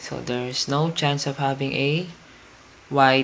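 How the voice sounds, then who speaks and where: A fairly slow pace, with noticeable background noise throughout. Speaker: science teacher. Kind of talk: educational lesson narration.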